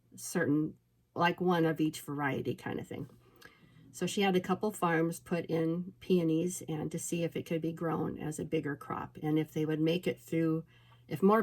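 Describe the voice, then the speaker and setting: A woman with a slight Minnesota accent talks at a moderate pace and fairly low pitch, her intonation monotone and flat. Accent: slight Minnesota inflection. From Alaska. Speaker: peony farmer. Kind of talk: casual storytelling vlog. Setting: indoors at home.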